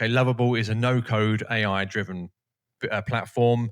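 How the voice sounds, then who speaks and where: A British accent in a very clean recording with a silent background, the sound dry and close with no echo. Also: man. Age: 40s. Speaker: YouTuber, no-code SaaS founder. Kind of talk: casual vlog tutorial. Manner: casual, energetic.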